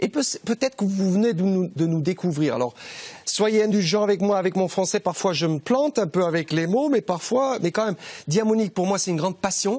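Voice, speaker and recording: A man's fairly quick speech in a German accent, high in pitch, with lively intonation and very even loudness. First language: German (speaking French). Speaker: TV shopping presenter. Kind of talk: sales pitch. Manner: halting.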